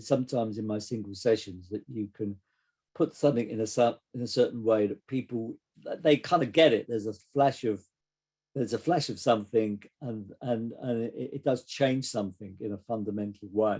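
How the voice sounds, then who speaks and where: A man with an English accent, medium-pitched, with a dark, mellow tone, ordinary pitch variation and a moderate pace. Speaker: psychotherapist. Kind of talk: casual chat. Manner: halting.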